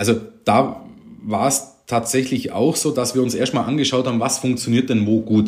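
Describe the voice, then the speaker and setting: A man's ordinary speaking voice at medium pitch, delivered at a moderate pace. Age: 40s. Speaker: tax advisor, firm owner. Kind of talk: casual interview.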